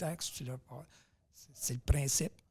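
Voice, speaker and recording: Somewhat breathy, a man speaks at a fairly high pitch in a dark, mellow tone with ordinary pitch variation. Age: 70s. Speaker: powerlifter. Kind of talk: podcast interview.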